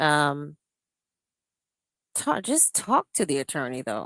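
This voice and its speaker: A woman speaks at a very slow pace in a very deep, low voice, with long, frequent pauses, in a dry, close sound with no echo and a very clean recording over a silent background. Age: 60s. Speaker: livestream commentator. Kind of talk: casual live stream commentary. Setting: livestream. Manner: animated.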